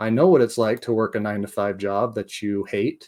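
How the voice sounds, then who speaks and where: This man has a plain, everyday voice with an American accent, a fairly low pitch and fairly even intonation, and he talks at a moderate pace. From United States. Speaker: real estate investor and course creator. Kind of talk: training video monologue.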